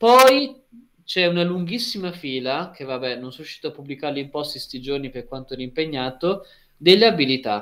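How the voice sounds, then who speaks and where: An ordinary speaking voice from a man, fairly high in pitch and fairly quick, with lively intonation and big swings in loudness over a quiet background. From Emilia-Romagna, Italy (Lugo, near Ravenna); Emilia-Romagna, Italy. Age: 20s. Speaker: university student; guest. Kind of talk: casual interview. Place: home room. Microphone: video call.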